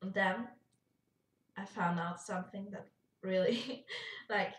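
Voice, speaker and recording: A somewhat breathy woman at medium pitch and a fairly slow pace. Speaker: YouTuber. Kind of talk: casual vlog chat. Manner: animated, with fillers and false starts.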